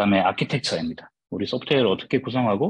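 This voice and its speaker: This man talks very fast, with ordinary pitch variation. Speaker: software developer giving guest lecture. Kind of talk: lecture. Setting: online video lecture. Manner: tends to speak fast.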